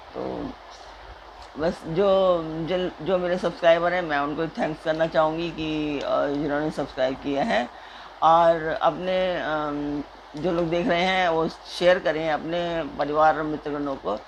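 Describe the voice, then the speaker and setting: Her pitch very deep and low, a woman talks with fairly even intonation. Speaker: religious text reader, channel host. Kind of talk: casual appeal to viewers. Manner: soft-spoken; hesitant with fillers.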